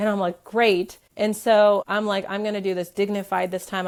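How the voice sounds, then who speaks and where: A woman speaks in an animated tone at a fairly quick pace. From US, Ukrainian refugee family. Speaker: mother sharing birth stories. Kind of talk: interview storytelling. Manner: animated, many fillers like 'like'.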